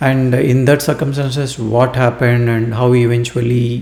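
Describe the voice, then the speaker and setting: A man with an Indian accent speaks at a fairly slow pace, medium in pitch, with ordinary pitch variation. Noticeable background noise runs underneath. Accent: Indian English (Telugu). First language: Telugu. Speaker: book reviewer. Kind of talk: book review monologue. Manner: halting, many fillers.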